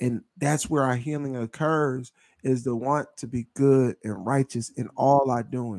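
Here a man with an American accent has an unremarkable speaking voice, medium in pitch, and speaks at a fairly slow pace with fairly even intonation. The recording is very clean, with a silent background and a dry, close sound with no echo. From Pennsylvania, Delaware County. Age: 30s. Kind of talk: casual chat.

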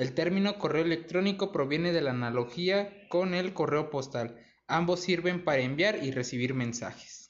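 A man talks in a high pitch at very even loudness. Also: ordinary pitch variation, moderate pace. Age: 20s. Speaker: university student. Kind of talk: school presentation reading.

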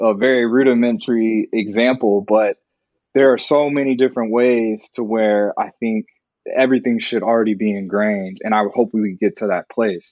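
A man with an American accent speaks in an unremarkable speaking voice, medium in pitch, with fairly even intonation at a moderate pace. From Texas, Dallas suburb. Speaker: TV news producer. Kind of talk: interview.

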